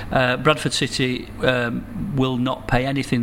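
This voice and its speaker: Speech moves along at a moderate pace. Background noise is noticeable. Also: man. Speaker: financial services businessman. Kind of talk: interview.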